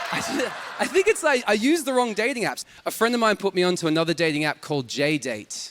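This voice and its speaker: Over noticeable background noise, a man with a high voice talks very fast, his pitch swinging very widely. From Australia. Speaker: stand-up comedian. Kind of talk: stand-up. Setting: stage with audience.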